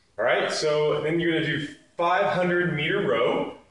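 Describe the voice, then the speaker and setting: Speaking at a fairly slow pace, a man with a high pitch is heard with audible room echo. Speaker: fitness instructor. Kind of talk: tutorial. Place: gym. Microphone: camera far.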